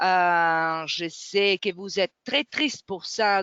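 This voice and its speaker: Speaking with a non-native accent, a woman talks at a very slow pace. Her voice sits fairly low. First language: not French (speaking French). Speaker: webinar moderator. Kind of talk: webinar closing remarks. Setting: online webinar. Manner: halting, many hesitations.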